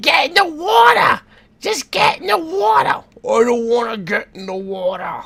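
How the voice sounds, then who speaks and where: A put-on character voice in an East Coast US accent, fairly high in pitch. The pace is moderate. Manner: insistent, nagging.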